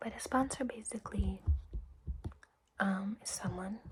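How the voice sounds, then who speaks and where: The speaker is soft-spoken and goes at a fairly slow pace over noticeable background noise. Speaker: recovery meeting greeter. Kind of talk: ASMR roleplay.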